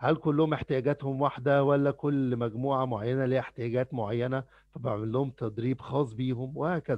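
A man with an unremarkable speaking voice talks at a moderate pace and medium pitch, using fairly even intonation and hardly any pauses, in a dry sound with no echo against a quiet background. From Egypt (Cairo). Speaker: trainer. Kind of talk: lecture. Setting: video call. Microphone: headset.

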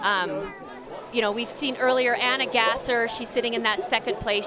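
An upbeat, energetic voice plays over background music in a dry sound with no echo. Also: woman. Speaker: sports broadcast host. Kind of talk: live sports commentary and presenting. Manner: upbeat, polished, energetic. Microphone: headset.

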